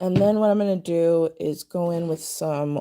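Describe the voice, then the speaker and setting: A woman's dark, mellow voice at a very slow pace, with ordinary pitch variation and a dry, close sound with no echo. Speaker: nail art content creator. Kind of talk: tutorial. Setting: livestream. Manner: casual, thinking aloud.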